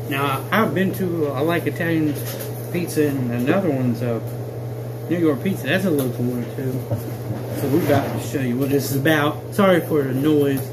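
Noticeable background noise runs under speech delivered at a fairly quick pace. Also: man, ordinary pitch variation. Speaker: food reviewer. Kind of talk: casual vlog chat. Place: home room. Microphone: phone near.

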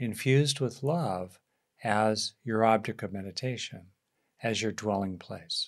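A man speaks at a very slow pace against a quiet background. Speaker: meditation teacher. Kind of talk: guided meditation introduction. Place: home room. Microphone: studio mic.

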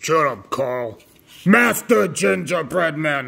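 A man puts on a character voice at a fairly high pitch. He delivers it at a very slow pace. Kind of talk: comic villain shouting. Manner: bombastic, shouting.

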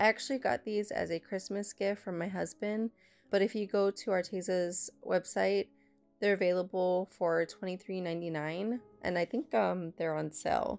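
A woman's voice at a moderate pace, with music in the background. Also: medium pitch for a woman, ordinary pitch variation, dry, close sound with no echo. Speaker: painter. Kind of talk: casual voiceover narration.

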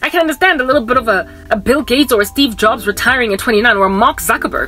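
Faint music plays in the background. Over it, a woman speaks very fast in a high voice. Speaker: vlogger. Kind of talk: casual vlog chat. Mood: animated, exasperated storytelling. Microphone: phone near.

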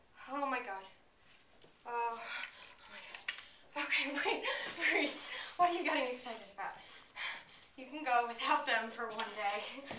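Amid noticeable background noise, a woman talks at a moderate pace with ordinary pitch variation and long, frequent pauses. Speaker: student actor. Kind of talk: dramatic monologue performance. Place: classroom. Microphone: camera far.

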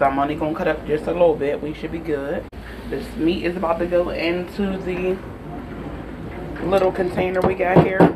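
There is noticeable background noise. The speech keeps a moderate pace. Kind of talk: casual cooking tutorial. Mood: relaxed, playful. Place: kitchen. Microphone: phone near.

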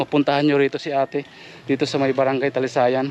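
A man at a medium pitch, monotone and flat in intonation, at a very fast pace. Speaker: vlogger. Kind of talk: walking vlog with appeal for help.

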